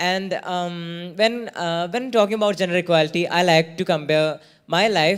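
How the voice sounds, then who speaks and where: A man talks at a moderate pace in a high pitch, with ordinary pitch variation. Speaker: youth delegate. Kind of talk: panel discussion. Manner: halting.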